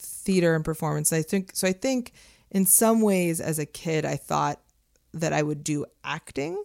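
An ordinary speaking voice comes from a woman with a fairly low pitch and ordinary pitch variation. The recording is very clean, with a silent background and a dry, close sound with no echo. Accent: American. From Los Angeles. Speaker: creative studio co-founder. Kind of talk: casual chat.

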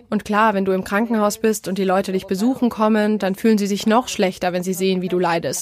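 A woman speaks very fast with hardly any pauses. Her medium-pitched voice keeps fairly even intonation. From Spain, Madrid. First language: Spanish (speaking German). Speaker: terror attack survivor. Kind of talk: testimony.

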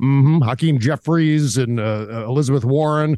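The voice carries a dark, mellow tone and lively intonation at a moderate pace. The recording is very clean, with a silent background. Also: man. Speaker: political commentator. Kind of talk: casual chat.

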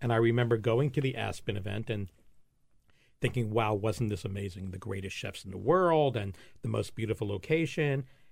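Over a very clean recording with a silent background, a man speaks with an American accent at medium pitch. His voice is somewhat breathy, with ordinary pitch variation and a fairly quick pace. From New York, Long Island, then Florida. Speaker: food festival founder. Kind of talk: casual interview. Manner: animated.

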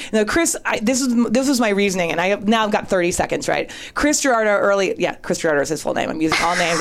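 Over noticeable background noise, a woman speaks at a very fast pace with hardly any pauses, very wide pitch swings and very even loudness. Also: medium pitch for a woman. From Northern California, later Boston. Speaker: writer. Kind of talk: casual chat, storytelling.

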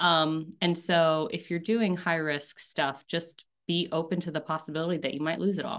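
Over a quiet background, a woman with an American accent and a fairly low pitch uses an ordinary speaking voice at a moderate pace, with fairly even intonation and hardly any pauses. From rural North Carolina, US South. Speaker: startup founder and CEO. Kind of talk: interview.

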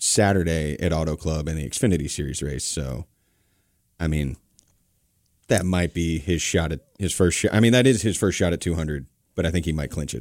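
Recorded very cleanly with a silent background, a man with an American accent talks fairly quickly in a very deep, low voice with vocal fry, leaving long, frequent pauses. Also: ordinary pitch variation. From US South. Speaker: podcast co-host. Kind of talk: casual chat.

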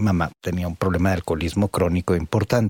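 A man at a moderate pace, in a very clean recording with a silent background and a dry, close sound with no echo. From Italy. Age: 40s. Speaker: podcast co-host and psychologist. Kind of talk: casual chat.

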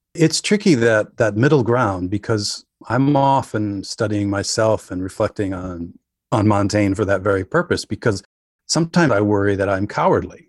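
In a dry, close recording with no echo and a quiet background, a man talks at a moderate pace with a fairly low pitch and ordinary pitch variation. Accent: American. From northern Wisconsin. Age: 50s. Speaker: writer. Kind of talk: casual chat. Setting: remote interview from home.

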